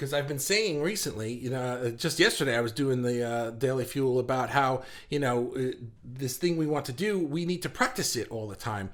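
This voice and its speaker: Here a man sounds animated. His intonation is lively. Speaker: livestream host for artists. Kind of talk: live stream chat. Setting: home office. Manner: fast.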